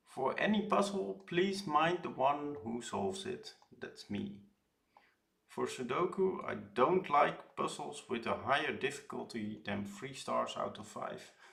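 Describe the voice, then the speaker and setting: A man's fairly slow speech with a strong Dutch accent and big swings in loudness. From Netherlands. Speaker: puzzle streamer. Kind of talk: live stream puzzle solving. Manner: hesitant, many fillers.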